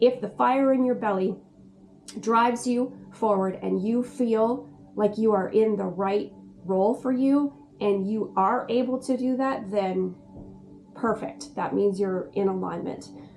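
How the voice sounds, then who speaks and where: A woman uses a normal speaking voice at medium pitch. Her pace is fairly slow, and her pitch variation is ordinary. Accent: Canadian. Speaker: spiritual guide and video host. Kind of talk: casual talk-to-camera explainer.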